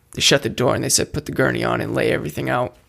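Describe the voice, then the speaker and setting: With an American accent, a man speaks with vocal fry. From Massachusetts, Attleboro. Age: 20s. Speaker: person in recovery. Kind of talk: personal testimony.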